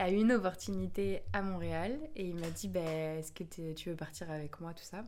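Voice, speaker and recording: A woman speaks at medium pitch. Background noise is noticeable. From France, Bordeaux. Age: 20s. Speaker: yoga teacher and singer. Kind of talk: casual chat.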